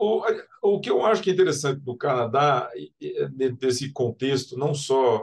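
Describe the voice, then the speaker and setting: With a normal speaking voice, a man talks at a fairly slow pace in a medium pitch with ordinary pitch variation. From Brazil, Mato Grosso do Sul (Campo Grande). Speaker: civil engineering professor. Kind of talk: interview.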